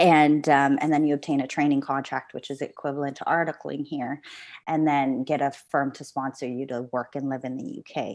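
A woman with a very deep, low voice speaks at a fairly quick pace. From Philippines and Canada. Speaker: law student and society founder. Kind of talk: casual interview conversation. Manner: chatty, animated, laughs often.

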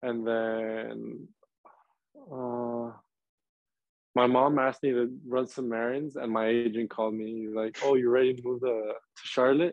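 A man with an American accent speaks at a fairly slow pace. His intonation is monotone and flat, broken by long, frequent pauses. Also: medium pitch for a man. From Texas, Laredo. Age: 20s. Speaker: professional footballer. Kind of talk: interview. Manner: halting, many fillers.

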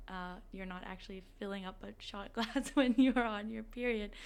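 At a fairly quick pace, a woman with a fairly high pitch speaks in a normal speaking voice with fairly even intonation. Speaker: student organization president. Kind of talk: interview conversation.

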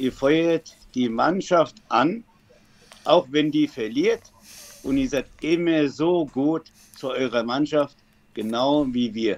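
A man with a fairly high pitch and ordinary pitch variation speaks very slowly, leaving long, frequent pauses. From Germany, Frankfurt area. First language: German (speaking Greek). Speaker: football fan. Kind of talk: interview.

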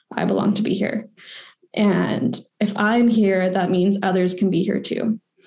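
A woman with a Western Canadian accent speaks at a fairly slow pace in a monotone, flat intonation. Her dark, mellow tone has vocal fry, and her loudness stays very even. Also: medium pitch for a woman. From Victoria, British Columbia, Canada. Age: 20s. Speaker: policy specialist and graduate student. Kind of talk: interview. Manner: casual, with many fillers.

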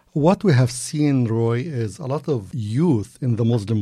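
A somewhat breathy man's voice in an Arabic accent, medium in pitch and dark and mellow in tone, with lively intonation at a very slow pace. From Egypt, Cairo. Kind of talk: interview.

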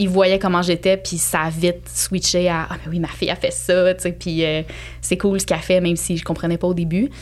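A woman's voice shows big swings in loudness over noticeable background noise. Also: moderate pace. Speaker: cat behaviour specialist and entrepreneur. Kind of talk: casual interview conversation.

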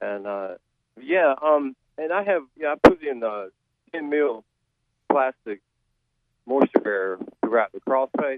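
With music in the background, a man at a medium pitch speaks with lively intonation, big swings in loudness, and long, frequent pauses. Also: fairly slow pace. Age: old. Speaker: caller, retired university maintenance worker. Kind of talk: call-in question. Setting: phone call. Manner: halting, many fillers.

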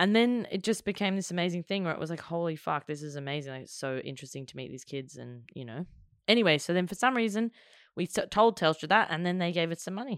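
A woman with an Australian accent talks very fast with lively intonation and big swings in loudness, on a very clean recording with a silent background. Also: fairly low pitch for a woman. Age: 20s. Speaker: actor and filmmaker. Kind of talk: casual chat.

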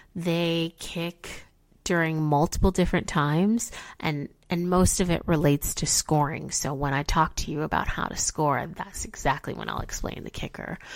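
With a Midwestern accent, a woman speaks fairly slowly at a fairly low pitch in an animated tone, in a very clean recording with a silent background. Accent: general American, Midwestern. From Chicago, US Midwest. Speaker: podcast host explaining football. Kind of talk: educational explainer, casual chat. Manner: casual, animated, chatty.

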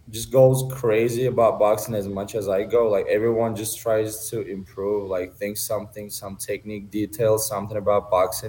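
A man with a Turkish accent speaks at a moderate pace with hardly any pauses, his fairly low, somewhat breathy voice dark and mellow in tone and flat, monotone in intonation. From Turkey. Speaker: amateur boxer. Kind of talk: interview.

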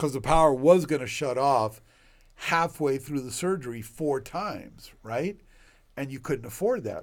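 In a very clean recording with a silent background, a man with a fairly high pitch speaks at a fairly slow pace. His pitch variation is ordinary, while his loudness swings widely. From Puerto Rico and US (Cuban-born immigrant). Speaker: OB/GYN physician and medical school faculty. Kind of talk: casual interview, life story. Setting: studio podcast. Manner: animated, energetic.

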